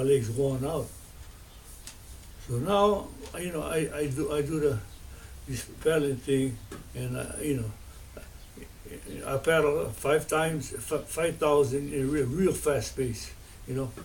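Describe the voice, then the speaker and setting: This man talks at a fairly slow pace with a fairly high pitch, ordinary pitch variation, long and frequent pauses, and audible room echo. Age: 80s+. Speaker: video blogger. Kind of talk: casual monologue. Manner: rambling with many fillers.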